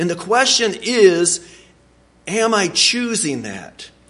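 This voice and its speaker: Audible room echo surrounds a man speaking at a very slow pace with lively intonation. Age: 40s. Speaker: preacher. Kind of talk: sermon. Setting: church. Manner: halting.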